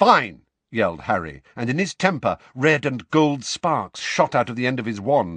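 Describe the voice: Plain reading aloud with lively intonation sits over a quiet background.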